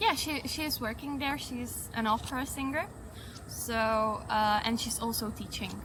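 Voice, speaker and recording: A woman with a high pitch talks at a moderate pace with ordinary pitch variation, with audible room echo and noticeable background noise. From Czech Republic, Prague. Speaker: tourist interviewee. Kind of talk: street interview.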